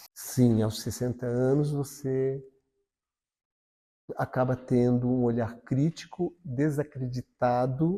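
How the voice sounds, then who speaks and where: Very slowly, a man speaks at a medium pitch with a dark, mellow tone and fairly even intonation. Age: 60s. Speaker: interviewee in documentary. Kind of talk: interview testimony.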